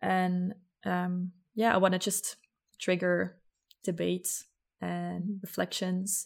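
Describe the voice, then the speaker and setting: A woman with a Flemish accent, very slow pace and long, frequent pauses. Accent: Flemish Dutch-accented English. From Belgium, Ghent. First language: Dutch. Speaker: podcaster. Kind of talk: casual chat. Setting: video call.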